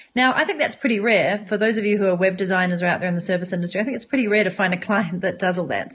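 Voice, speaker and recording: This woman has a medium-pitched, somewhat breathy voice with ordinary pitch variation and a New Zealand accent. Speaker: entrepreneur and online business coach. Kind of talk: live-stream monologue to viewers. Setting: smartphone live broadcast. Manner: animated.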